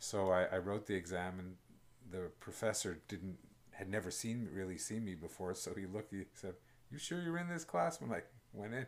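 A man with a Canadian accent and a plain, everyday voice speaks at a moderate pace and fairly low pitch, his intonation lively. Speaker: photographer and video producer. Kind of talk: casual chat.

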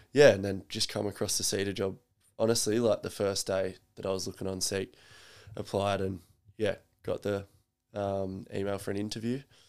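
In a very clean recording with a silent background, a man with an Australian accent and fairly low pitch speaks at a moderate pace in a monotone, flat intonation, with long, frequent pauses. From South Australia. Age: 20s. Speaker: personal trainer. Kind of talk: casual chat. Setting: at home.

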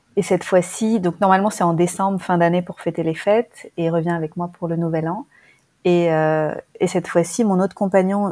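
A woman's fairly low, dark, mellow voice at a moderate pace, fairly even in intonation, dry and close with no echo, on a very clean recording with a silent background. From France. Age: 40s. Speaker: relationship coach. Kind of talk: interview.

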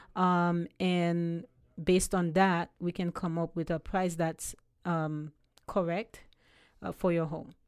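In a very clean recording with a silent background, a woman speaks very slowly with a Haitian accent, leaving long, frequent pauses. Her fairly low voice stays flat and monotone. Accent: Haitian Caribbean-accented English. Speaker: realtor. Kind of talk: interview.

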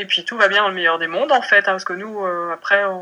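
A woman speaks at a medium pitch in a bright, sharp tone. Her pitch variation is ordinary. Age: 20s. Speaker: mother sharing birth story. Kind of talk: personal testimony interview. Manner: hesitant, many filler words.

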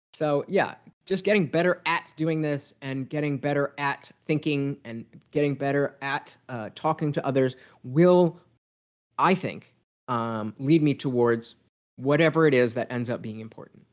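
Here a man speaks at a fairly slow pace. His pitch is fairly high, with ordinary pitch variation. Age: 30s. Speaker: podcast host guest. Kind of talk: casual interview conversation. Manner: halting, many repetitions and fillers.

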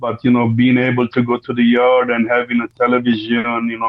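A man's medium-pitched voice, fairly quick and flat, in a monotone. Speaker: former prisoner, activist. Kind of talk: interview. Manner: halting, many fillers.

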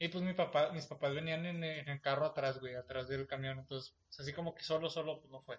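Somewhat breathy and fairly high-pitched, a man speaks in a monotone, flat intonation while his loudness swings a lot. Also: fairly quick pace. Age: 20s. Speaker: podcast host. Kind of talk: casual chat.

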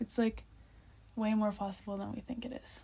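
With a Canadian accent, a woman speaks in a dark, mellow tone at a fairly high pitch and a moderate pace, with fairly even intonation. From Nova Scotia, Canada. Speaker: dancer. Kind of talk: casual chat. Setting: hostel bunk bed.

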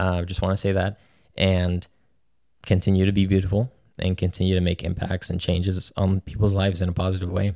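This man has a very deep, low pitch and a dark, mellow tone. His intonation is monotone and flat on a very clean recording with a silent background. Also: fairly quick pace. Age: 20s. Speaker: podcast host and filmmaker. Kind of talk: casual solo podcast talk. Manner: hesitant with many fillers.

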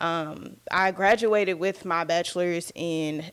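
A woman with an American accent has an ordinary speaking voice, fairly low in pitch. Her intonation stays fairly even on a very clean recording with a silent background. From Texas, Dallas. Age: 20s. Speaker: podcast host, wellness advocate. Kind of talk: casual monologue.

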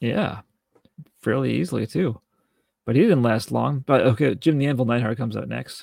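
At medium pitch with vocal fry, a man talks at a moderate pace and ordinary pitch variation. He takes long, frequent pauses. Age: 40s. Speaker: wrestling podcast co-host. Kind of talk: casual chat.

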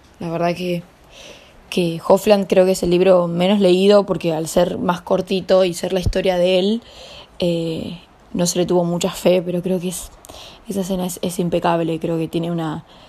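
With a Rioplatense accent, a woman speaks at a moderate pace in a fairly low, monotone, flat voice over noticeable background noise. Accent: Argentine Spanish (rioplatense). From Argentina. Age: 20s. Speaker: young novelist and actress. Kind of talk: interview. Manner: hesitant, with repetitions.

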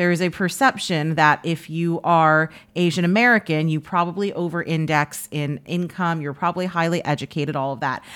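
In a plain, everyday voice, a woman speaks at a fairly quick pace with hardly any pauses, a fairly low pitch and ordinary pitch variation, on a very clean recording with a silent background. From New York City (Washington Heights). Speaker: sportswriter. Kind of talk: interview.

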